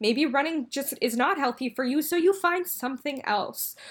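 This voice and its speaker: On a very clean recording with a silent background, a woman with an American accent speaks at a moderate pace. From California Bay Area. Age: 20s. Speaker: graduate student and eating disorder speaker. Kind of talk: interview.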